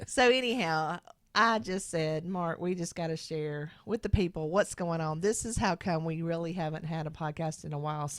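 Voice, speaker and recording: A woman's fairly low voice at a moderate pace, ordinary pitch variation and hardly any pauses. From American Deep South. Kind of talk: casual podcast talk.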